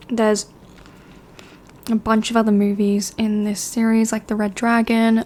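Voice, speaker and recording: Soft-spoken and relaxed in tone, a woman talks at a fairly high pitch and a moderate pace, her intonation monotone and flat, with long, frequent pauses. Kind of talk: movie recommendation review, casual talk to camera. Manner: soft-spoken, relaxed.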